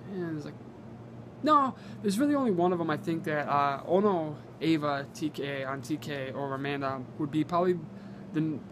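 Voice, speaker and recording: A man with a fairly high pitch speaks with long, frequent pauses and ordinary pitch variation. Room echo is audible. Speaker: gaming YouTuber. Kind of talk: casual Q&A vlog. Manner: fast; halting.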